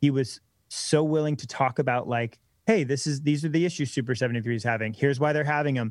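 A man talks in a plain, everyday voice with ordinary pitch variation, in a very clean recording with a silent background. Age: 20s. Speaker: electric bike company co-founder. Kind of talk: casual interview.

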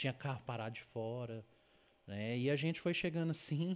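The man's intonation is lively as he talks at a moderate pace. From Uberlândia, Minas Gerais, Brazil. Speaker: travel and food influencer. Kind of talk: casual chat. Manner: halting.

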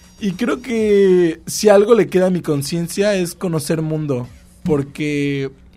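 A man speaks with music playing in the background. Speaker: podcast co-host. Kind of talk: casual chat.

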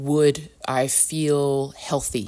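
A woman's voice with a very deep, low pitch. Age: 50s. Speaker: life coach and podcast host. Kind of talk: solo podcast monologue. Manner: reflective, conversational with frequent fillers.

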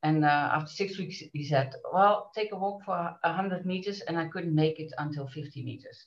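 With a Dutch accent, a woman talks at a moderate pace, somewhat breathy, with ordinary pitch variation. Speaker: business association director. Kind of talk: interview.

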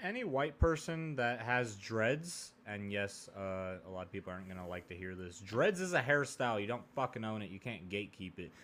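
Rattling along at a fairly quick pace with hardly any pauses, a man uses lively intonation in an unremarkable speaking voice. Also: fairly low pitch for a man. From US West Coast, rural Oregon. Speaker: podcast co-host. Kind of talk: casual chat.

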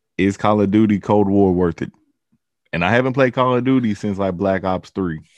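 A plain, everyday voice at a fairly quick pace, with ordinary pitch variation and a quiet background. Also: man, fairly low pitch for a man. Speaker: podcast co-host guest. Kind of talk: casual chat.

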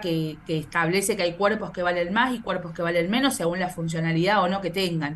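Amid audible room echo, a woman with a fairly low pitch talks at a very fast pace with fairly even intonation. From Argentina, Córdoba. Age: 30s. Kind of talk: interview. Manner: hesitant, frequent repetitions.

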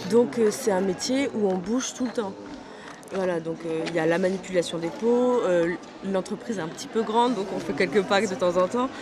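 Moderate-paced speech from a woman at a medium pitch with ordinary pitch variation and long, frequent pauses, plus audible room echo and noticeable background noise. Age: 20s. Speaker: apprentice engineer in leather tanning. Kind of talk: interview. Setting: trade fair stand.

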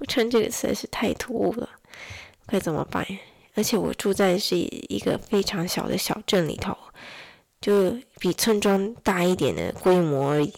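A woman at a moderate pace, medium pitch, ordinary pitch variation, long and frequent pauses, very clean recording with a silent background. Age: 20s. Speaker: podcaster, mother of two. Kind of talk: casual solo monologue. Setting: home recording late at night.

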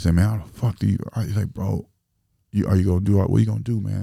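A man talks at a very fast pace in a very deep, low pitch with vocal fry. His tone is dark and mellow, with ordinary pitch variation. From Springfield, Illinois. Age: 30s. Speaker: rapper and entrepreneur. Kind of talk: casual chat.

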